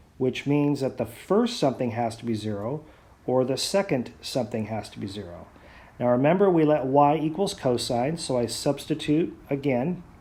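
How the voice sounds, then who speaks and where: Amid audible room echo, a man with a dark, mellow tone speaks with lively intonation. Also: medium pitch for a man, moderate pace. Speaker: math teacher. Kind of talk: lecture.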